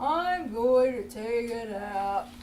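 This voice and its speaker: A put-on character voice, female-sounding and fairly high in pitch, comes through with clear background noise. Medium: read story.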